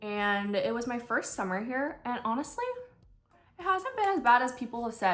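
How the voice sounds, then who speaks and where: A woman with an American accent, with music in the background. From US Pacific Northwest, Washington State. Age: 20s. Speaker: nurse and beauty vlogger. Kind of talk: casual chat during makeup tutorial. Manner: casual, conversational with fillers.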